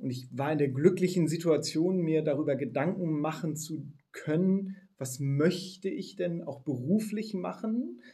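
Audible room echo surrounds a man whose dark, mellow voice sits fairly high in pitch and moves with ordinary variation. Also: fairly slow pace. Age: 40s. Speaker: funeral startup founder. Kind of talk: interview.

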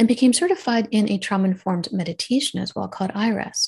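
A woman speaks at a medium pitch and a fairly quick pace, her voice somewhat breathy. The background is quiet. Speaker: radiologist and wellness coach. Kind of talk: casual interview.

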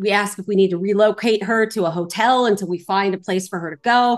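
A woman with a Californian accent speaks at a medium pitch in an animated tone. Her pitch variation is ordinary, and the background is quiet. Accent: General American (Californian). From Los Angeles, California. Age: 40s. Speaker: real estate investor. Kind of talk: interview.

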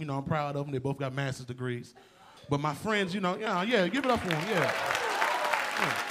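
A man with a fairly high pitch speaks at a fairly quick pace, with ordinary pitch variation. Room echo is audible, and crowd noise sits in the background. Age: 20s. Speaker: comedian. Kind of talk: stand-up. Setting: stage with audience. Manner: loud.

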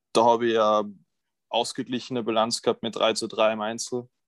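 Dry and close, with no echo, a man's voice comes through at a moderate pace. The background is quiet. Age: 20s. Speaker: college tennis player. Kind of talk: interview.

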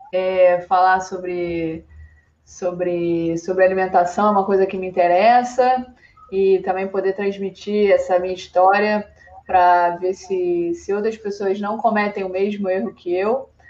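A woman speaks in an unremarkable speaking voice at a fairly slow pace. Her loudness swings widely. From Brazil, Rio de Janeiro. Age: 30s. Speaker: climbing athlete. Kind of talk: podcast interview.

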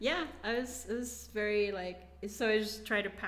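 A woman's voice, its pitch moving in a typical way, carries audible room echo and clear background noise. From Philippines, Davao (Mindanao). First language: Bisaya. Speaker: immigrant guest. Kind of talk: casual chat.

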